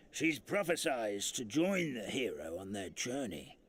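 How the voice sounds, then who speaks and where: A man uses a put-on character voice, raspy and medium-pitched, at a moderate pace. His pitch swings very widely. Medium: video game. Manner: folksy, rambling.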